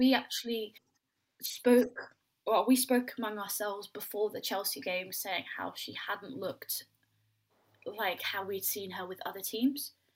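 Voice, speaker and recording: A woman with a fairly high voice and a southern English accent, at a fairly slow pace, with ordinary pitch variation and big swings in loudness. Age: young. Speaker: women's football podcast host. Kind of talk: casual chat.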